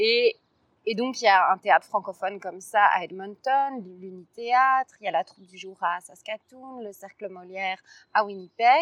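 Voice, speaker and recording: An ordinary speaking voice from a woman, medium in pitch, at a fairly slow pace with ordinary pitch variation, big swings in loudness and a dry, close sound with no echo. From Brussels, Belgium. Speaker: actress and playwright. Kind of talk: casual chat. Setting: outdoors.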